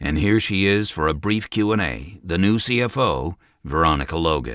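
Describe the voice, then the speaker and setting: In a put-on character voice, a man speaks raspy and very deep, with very wide pitch swings. His pace is moderate. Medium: read story. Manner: forceful, domineering.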